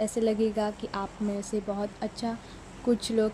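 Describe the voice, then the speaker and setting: A woman with a Mumbai accent speaks in a fairly high pitch with monotone, flat intonation over noticeable background noise. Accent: Mumbai-style Hindi. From Maharashtra, Mumbai. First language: Marathi (speaking Hindi). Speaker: mobile gaming YouTuber. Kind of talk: gameplay voice-over.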